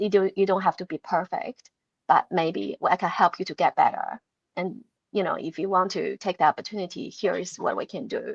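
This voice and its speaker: Against a quiet background, a woman with a non-native accent speaks at a moderate pace, the sound dry and close with no echo. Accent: non-native English speaker. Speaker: award-winning engagement manager and podcaster. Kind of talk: live online panel discussion. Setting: video call webinar.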